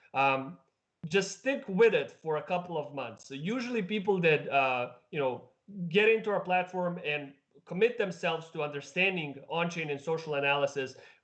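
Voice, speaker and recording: A high-pitched man's voice with lively intonation at a moderate pace. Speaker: crypto market analyst, stream host. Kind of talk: live stream market analysis. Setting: live stream. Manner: hesitant, many fillers.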